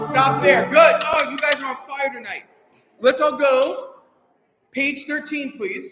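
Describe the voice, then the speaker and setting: An animated man with an extremely high pitch raises and projects his voice, his loudness swinging widely between long, frequent pauses. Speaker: choir director. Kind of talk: rehearsal instruction. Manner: fast.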